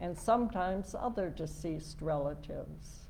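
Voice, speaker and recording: This is a woman's voice. She speaks with an Upper Midwest accent. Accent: Upper Midwest American. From US Midwest, southern Minnesota. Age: 80s+. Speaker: lay speaker. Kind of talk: talk at a worship service.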